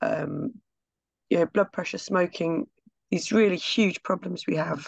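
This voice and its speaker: Vocal fry from a woman, recorded dry and close with no echo. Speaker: local councillor and physiotherapist. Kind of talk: public meeting question. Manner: hesitant, many fillers.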